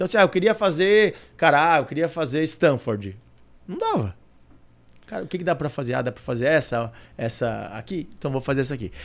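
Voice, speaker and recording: A man's animated voice, fairly high-pitched with vocal fry, very wide pitch swings, big jumps in loudness, a fairly quick pace and long, frequent pauses. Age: 40s. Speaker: corporate director. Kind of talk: interview.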